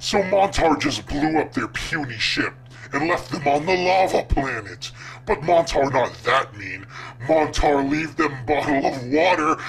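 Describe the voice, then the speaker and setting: With clear background noise, a man does a put-on character voice at a fairly high pitch and a moderate pace. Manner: menacing, simple-minded, self-satisfied.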